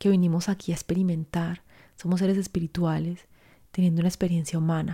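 Somewhat breathy and dark, mellow in tone, a woman speaks fairly quickly at a fairly low pitch with monotone, flat intonation. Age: 40s. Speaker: life coach podcast host. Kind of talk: solo podcast monologue. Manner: warm.

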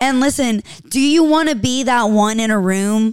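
Animated and lively in intonation, a woman with a high voice speaks at a fairly slow pace. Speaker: bartender and podcast host. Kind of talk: casual chat, storytelling. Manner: animated, chatty.

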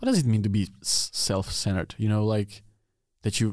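A man with a Czech accent speaks at a moderate pace in a dark, mellow tone and fairly low pitch on a very clean recording with a silent background. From Czech Republic. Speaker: podcast host. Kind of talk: casual interview chat. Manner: halting in English.

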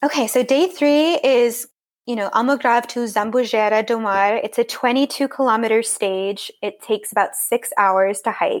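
An ordinary speaking voice, a woman with an American accent and fairly high pitch, ordinary pitch variation and a moderate pace, on a very clean recording with a silent background. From US, California Central Coast. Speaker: hiking travel blogger. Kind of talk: interview.

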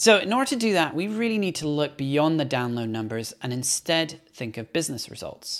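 A man's fairly high voice at a fairly quick pace, with very wide pitch swings, hardly any pauses, and a very clean recording over a silent background. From Belgium. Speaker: podcast host and production agency owner. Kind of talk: solo podcast monologue.

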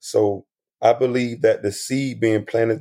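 A man speaks at a moderate pace with a medium pitch and a dark, mellow tone. His intonation is monotone and flat. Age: adult, not young. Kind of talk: testimony.

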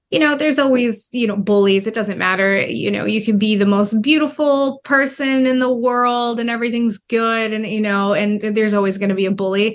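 A woman with an American accent has a plain, everyday voice at a fairly high pitch, with ordinary pitch variation, a fairly quick pace, and hardly any pauses. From United States (adopted at age two). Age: 20s. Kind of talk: interview. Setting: virtual call.

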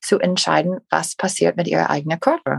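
A woman with an English accent speaks at medium pitch in a somewhat breathy voice, the sound dry and close with no echo. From USA. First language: English (speaking German). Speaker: podcast co-host. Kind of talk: casual chat. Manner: halting.

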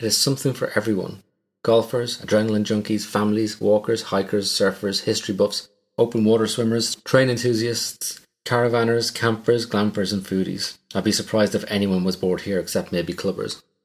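With an Irish accent, a man speaks at a fairly quick pace in a fairly low pitch. The recording is very clean, with a silent background. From Ireland. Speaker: true crime podcast host. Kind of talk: scripted narration.

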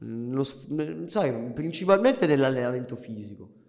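A man with an unremarkable speaking voice talks at a fairly slow pace, his medium pitch carried by lively intonation. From Italy. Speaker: amateur muay thai fighter, former rapper. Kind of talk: casual chat.

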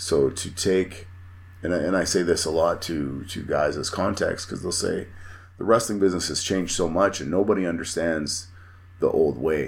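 A man with a very deep, low pitch and a Canadian Prairies accent, at a moderate pace with fairly even intonation. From Manitoba, Canada. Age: 40s. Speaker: professional wrestler. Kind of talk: casual chat.

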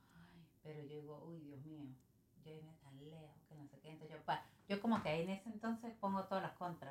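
A woman with a very deep, low voice speaks at a fairly quick pace, somewhat breathy, her pitch varying in an ordinary way while her loudness swings widely. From Venezuela, San Cristóbal (Táchira). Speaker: small business owner. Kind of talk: casual interview.

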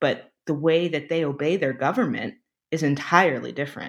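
A woman talks at a moderate pace. Her pitch is very deep and low. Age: 30s. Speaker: TV staff writer. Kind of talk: casual chat. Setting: remote call from home.

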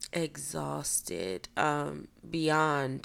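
This woman has a very deep, low pitch. Vocal fry runs through her voice. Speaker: podcast host. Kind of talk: personal monologue. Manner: hesitant, many ums.

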